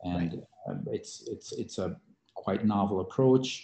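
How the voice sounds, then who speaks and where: Here a man speaks with a Hungarian accent. He keeps a moderate pace. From Hungary. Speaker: biotech CEO and scientist. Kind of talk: interview. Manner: halting, many fillers and repetitions.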